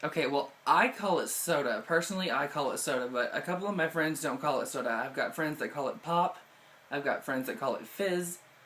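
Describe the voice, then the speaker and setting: A man with an American accent speaks fairly quickly at a fairly high pitch, his intonation lively against noticeable background noise. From southeast Missouri, USA. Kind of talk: casual talk to camera.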